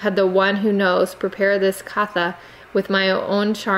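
What we hear is a natural reading voice.

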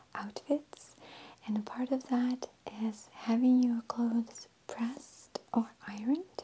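Soft-spoken, a woman talks at a very slow pace. Her intonation is fairly even, with light background noise. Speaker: ASMR creator. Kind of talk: ASMR ironing tutorial. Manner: lip-smacking, sassy. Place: home room.

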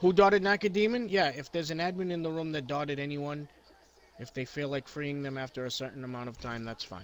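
This man talks at a very fast pace with a fairly high pitch. His intonation is lively. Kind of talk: heated argument. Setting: online voice chat room. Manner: rapid-fire, hectoring, preachy; loud, combative, talking over others.

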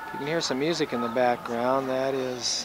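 Music plays behind a man whose voice is dry, with no echo. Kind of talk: casual narration of home video. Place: open country. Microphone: old recording.

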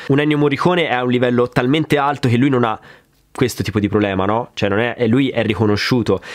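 The speech moves at a very fast pace with ordinary pitch variation and very even loudness. The background is quiet. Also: man. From Grosseto, Tuscany. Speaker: drummer and drum YouTuber. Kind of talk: casual Q&A chat. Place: studio.

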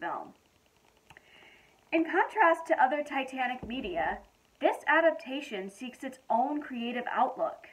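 Her pitch is high for a woman. She speaks at a fairly slow pace. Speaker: film reviewer. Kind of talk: casual film review. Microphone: phone near.

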